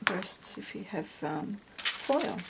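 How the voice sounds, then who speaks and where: Over noticeable background noise, a soft-spoken woman talks in an Australian accent at a medium pitch. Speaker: crafter. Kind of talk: tutorial. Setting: home at night.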